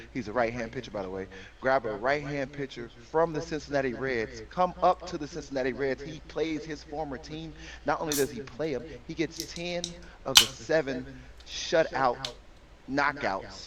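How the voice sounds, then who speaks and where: An animated speaker with an American accent, the loudness swinging widely. Background noise is noticeable throughout. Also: man, fairly high pitch for a man, ordinary pitch variation, moderate pace. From Chicago, US Midwest. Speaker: podcast co-host, sports segment presenter. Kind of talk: casual podcast chat with sports rundown.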